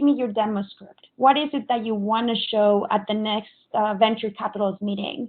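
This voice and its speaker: A woman with a Spanish accent, fairly high in pitch, at a moderate pace and with fairly even intonation. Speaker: software architect. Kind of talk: conference presentation.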